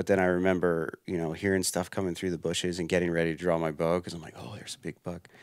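A man with an American accent, very deep and low in pitch, very fast with hardly any pauses, monotone and flat yet with big swings in loudness, over a quiet background. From Pennsylvania. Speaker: hunter and outdoor writer; podcast guest. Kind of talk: casual interview. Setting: trade show podcast booth. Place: home room. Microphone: headset.

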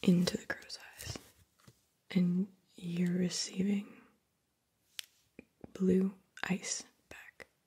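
A soft-spoken woman talks in a dark, mellow tone, somewhat breathy, with monotone, flat intonation. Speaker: session guide. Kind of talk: guided session narration, soft and calm. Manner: soft-spoken, slow and hushed. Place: home room. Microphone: studio mic.

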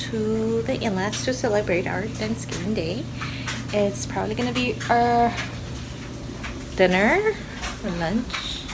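A woman talks at a fairly slow pace while noticeable background noise carries on. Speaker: family vlogger. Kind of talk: casual vlog chat. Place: home room. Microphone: phone near.

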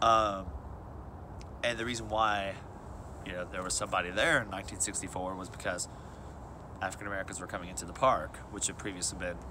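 A man's very deep, low voice with vocal fry and ordinary pitch variation at a very fast pace, over noticeable background noise. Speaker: local guide. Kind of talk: casual explanatory chat. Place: forest. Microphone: phone near.

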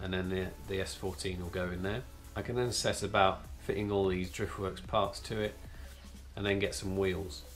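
A man speaks with a very deep, low pitch and ordinary pitch variation. Faint music plays in the background. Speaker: car channel host. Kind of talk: casual vlog chat. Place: home room. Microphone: camera far.

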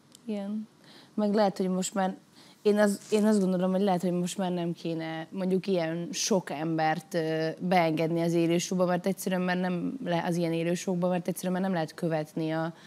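Fairly low in pitch and dark, mellow in tone, a woman's voice moves at a moderate pace with fairly even intonation. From Hungary. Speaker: singer, talent show contestant; talk show guest. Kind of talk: studio talk show discussion; interview answer. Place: studio. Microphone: lapel.

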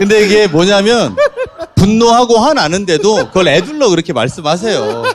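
A man with a high pitch and lively intonation speaks at a moderate pace against noticeable background noise. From South Chungcheong, Korea. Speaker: politician. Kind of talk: talk show interview answer.

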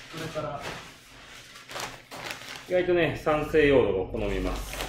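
A man talks at a fairly slow pace. Noticeable background noise runs behind him. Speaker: bar owner. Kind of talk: casual gardening livestream talk. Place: bar. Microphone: phone near.

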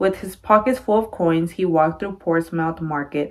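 This woman speaks with ordinary pitch variation. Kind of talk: read-aloud storytelling. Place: home room. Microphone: phone near.

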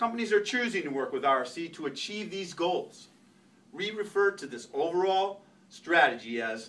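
A man talks at a moderate pace, his pitch swinging very widely. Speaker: presenter. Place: meeting room. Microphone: camera far.

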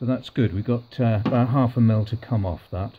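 Medium-pitched male speech

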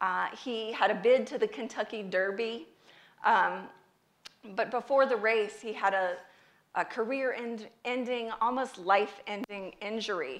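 A woman with an American accent speaks at a moderate pace with fairly even intonation. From US South, North Carolina. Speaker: speaker, patient advocate; speaker. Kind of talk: public talk. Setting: stage with audience. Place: stage.

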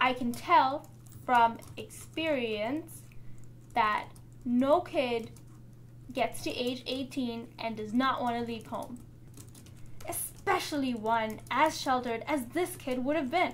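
A woman at a very slow pace with long, frequent pauses, high pitch, ordinary pitch variation and light background noise. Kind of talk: opinion commentary. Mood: wry, skeptical. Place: home room.

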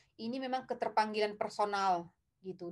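A woman talks at a fairly quick pace with ordinary pitch variation, and the background is quiet. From North Sumatra, Indonesia (Tarutung, Batak area); North Sumatra, Indonesia. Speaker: film director; guest. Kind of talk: interview. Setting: live stream. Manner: hesitant, many filler sounds. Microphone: webcam.

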